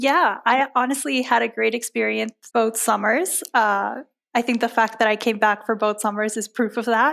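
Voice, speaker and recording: Woman with an American accent, a fairly high pitch and vocal fry. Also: ordinary pitch variation, moderate pace, very clean recording, silent background. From Cuba, Panama and US. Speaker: law student, incoming associate. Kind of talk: interview.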